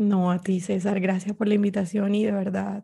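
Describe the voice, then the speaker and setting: Somewhat breathy and dark, mellow in tone, this woman's voice sits at a medium pitch. She speaks at a moderate pace. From Colombia, Barranquilla (Caribbean coast). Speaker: Spanish teacher. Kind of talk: interview conversation. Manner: halting, repeats words.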